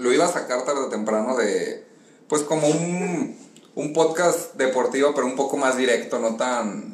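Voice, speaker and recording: Amid noticeable background noise and audible room echo, a man speaks fairly slowly at a fairly high pitch with ordinary pitch variation. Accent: Mexican. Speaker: football fan commentator. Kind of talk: casual chat.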